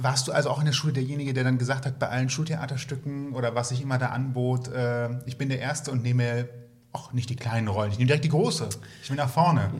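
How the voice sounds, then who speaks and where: This man speaks at a very fast pace and a medium pitch, his intonation fairly even. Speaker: podcast co-host. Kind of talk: casual interview chat.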